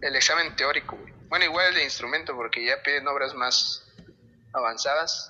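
The pace is moderate. Loudness swings widely throughout. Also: man. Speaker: guitarist. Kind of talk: casual chat.

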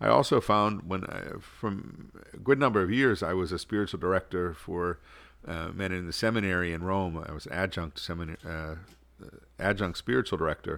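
On a very clean recording with a silent background, a man with an American accent speaks at a fairly quick pace in a very deep, low pitch with ordinary pitch variation. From Pittsburgh, US. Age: old. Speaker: archbishop. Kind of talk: interview.

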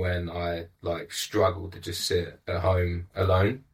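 A man's very deep, low, somewhat breathy voice in a London accent, on a very clean recording with a silent background. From England, East London. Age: 20s. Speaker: life coach. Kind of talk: casual chat. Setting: studio.

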